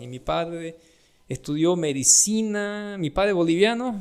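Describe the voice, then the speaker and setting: High-pitched man's voice with big swings in loudness. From Brazil. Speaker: doctor. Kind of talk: casual podcast chat.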